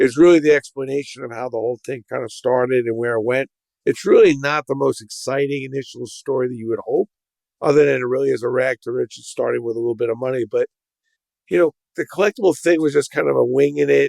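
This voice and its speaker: With a New York accent, a man talks at a very fast pace in a dry, close recording with no echo. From New York City (Brooklyn). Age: 60s. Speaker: entrepreneur. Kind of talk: podcast interview.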